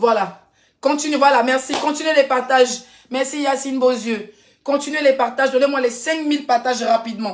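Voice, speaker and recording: A woman with a high pitch speaks in an animated tone at a moderate pace. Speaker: influencer. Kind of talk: live stream chat.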